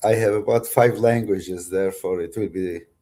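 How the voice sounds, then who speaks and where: Man with a strong Turkish accent, dark, mellow tone, and moderate pace. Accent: heavy Turkish. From Turkey, Kurdish family. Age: 60s. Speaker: author and philosopher. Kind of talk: interview. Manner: halting.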